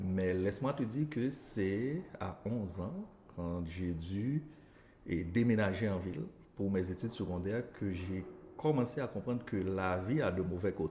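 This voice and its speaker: A man speaks slowly-ish, at a fairly slow pace, in a fairly low pitch with ordinary pitch variation. His tone is dark and mellow and somewhat breathy. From Haiti, northeast village near Cap-Haïtien. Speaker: elementary school teacher. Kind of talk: interview.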